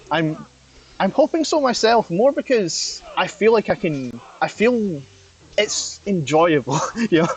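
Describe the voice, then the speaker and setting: A man's high voice with very wide pitch swings, at a fairly slow pace with long, frequent pauses, amid noticeable background noise. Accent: strong Scottish. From Scotland, west. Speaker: vtuber streamer. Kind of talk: casual live stream chat with gameplay. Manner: halting, many fillers.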